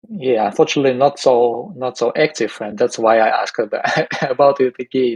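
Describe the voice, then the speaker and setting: Fairly even intonation and a moderate pace come through in a dry, close sound with no echo. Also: man. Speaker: indexer participant. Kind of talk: online community meeting discussion. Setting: Discord voice channel. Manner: halting, many fillers.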